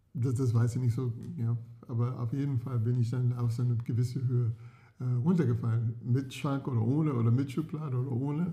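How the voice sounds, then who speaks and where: A somewhat breathy voice with a dark, mellow tone moves at a fairly quick pace with fairly even intonation. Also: man, medium pitch for a man. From US, California (San Diego). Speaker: podcast co-host. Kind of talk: casual chat. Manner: halting.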